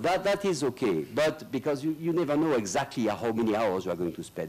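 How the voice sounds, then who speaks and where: There's vocal fry in this man's voice. He talks at a fairly quick pace with very wide pitch swings. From northern France (Lille). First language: French. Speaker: lawyer. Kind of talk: conference speech. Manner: halting.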